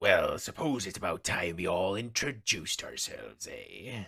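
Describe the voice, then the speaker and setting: Using a put-on character voice, a man speaks in a raspy tone at a moderate pace. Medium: actual play. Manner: hearty, folksy pirate talk.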